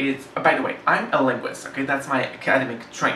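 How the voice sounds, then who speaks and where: Amid noticeable background noise and audible room echo, a man with a medium pitch speaks at a moderate pace. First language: French. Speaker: book reviewer. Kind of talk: casual book discussion. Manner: halting, many fillers.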